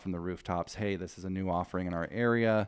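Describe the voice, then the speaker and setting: In a very clean recording with a silent background, a man with an American accent speaks at a very deep, low pitch in a monotone, flat intonation. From Southern Oregon, US Pacific Northwest. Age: 30s. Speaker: addiction treatment outreach worker. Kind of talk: interview.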